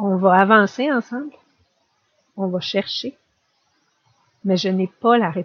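A very slow pace with long, frequent pauses. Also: woman, medium pitch for a woman, ordinary pitch variation. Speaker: family doctor and patient partner. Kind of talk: testimony and expert discussion.

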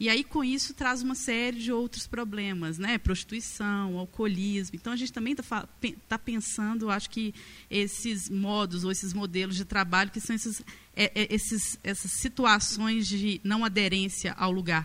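This woman has a bright, sharp tone at medium pitch. She keeps a moderate pace with ordinary pitch variation. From Vale do Aço, Minas Gerais, Brazil. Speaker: filmmaker and visual artist. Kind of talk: panel talk.

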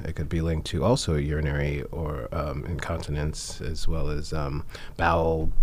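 A man keeps a fairly even intonation amid noticeable background noise and audible room echo. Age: 40s. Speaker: radio health show host, acupuncture physician. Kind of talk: interview. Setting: studio.

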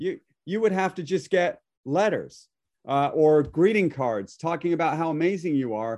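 The speech moves at a moderate pace with lively intonation. The background is quiet. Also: man. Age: 50s. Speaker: real estate agent and team leader. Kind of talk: casual interview chat. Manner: blunt.

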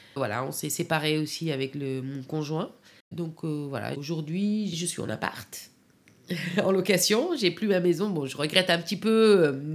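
A fairly low-pitched woman talks at a fairly slow pace with ordinary pitch variation. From Afghanistan, Kabul; in France since age 15. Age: 40s. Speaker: caterer. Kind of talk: personal testimony. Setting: at home, in her living room. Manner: halting.

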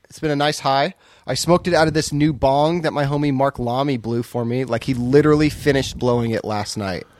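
Speaking at a fairly quick pace, a man uses a normal speaking voice with fairly high pitch and ordinary pitch variation, captured in a very clean recording with a silent background. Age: 30s. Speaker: podcast co-host and dad. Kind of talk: casual chat. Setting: garage.

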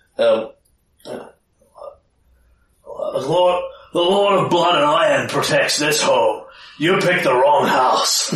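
A man's high-pitched put-on character voice at a very slow pace, with long, frequent pauses and a slight echo. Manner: threatening, angry.

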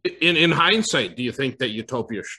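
In a quiet background, a man with an Upper Midwest accent speaks at a moderate pace and a medium pitch. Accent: Upper Midwest American. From US Upper Midwest. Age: 50s. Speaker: internet provider executive. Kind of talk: casual chat.

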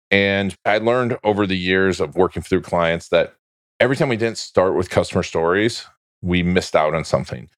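A man with an American accent has an unremarkable speaking voice, fairly low in pitch with ordinary pitch variation. He talks at a fairly quick pace against a quiet background. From Orlando, Florida, US. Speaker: business mentor and video marketing expert. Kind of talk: casual interview chat. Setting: video call across time zones.

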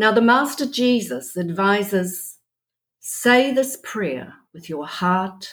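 Very wide pitch swings from a woman at a medium pitch and a very slow pace. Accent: New Zealand. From New Zealand. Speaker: spiritual group leader. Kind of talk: guided prayer. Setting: remote call.

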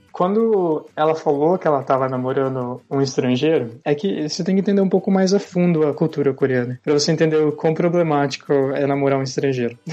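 Speaking in an ordinary speaking voice, a man keeps a fairly high pitch, a fairly quick pace, hardly any pauses, very even loudness and ordinary pitch variation. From Brazil, interior of São Paulo state (Sorocaba). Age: 20s. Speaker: software developer. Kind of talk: interview.

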